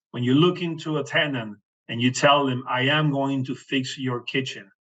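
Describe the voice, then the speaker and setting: A man's fairly high-pitched, monotone, flat delivery at a moderate pace. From Venezuela. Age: 60s. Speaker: real estate investor. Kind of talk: podcast interview. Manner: halting.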